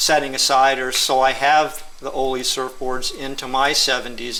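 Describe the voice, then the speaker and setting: With audible room echo, a man speaks in a bright, sharp tone. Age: 60s. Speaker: surfer and customer of the shaper. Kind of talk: interview.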